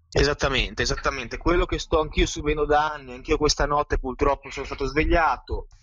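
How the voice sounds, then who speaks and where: Barely pausing, the man races along at a very fast pace. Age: 20s. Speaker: self-described mind control victim. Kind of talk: testimony. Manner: halting, repetitive.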